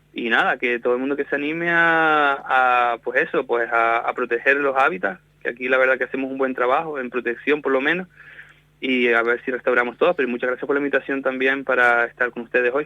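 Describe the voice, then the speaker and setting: In a Canarian accent, a man talks at a very fast pace. His pitch is medium and his intonation fairly even. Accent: Canarian Spanish, still noticeable. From Canary Islands, Spain. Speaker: wetland ecologist. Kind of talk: radio interview. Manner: halting.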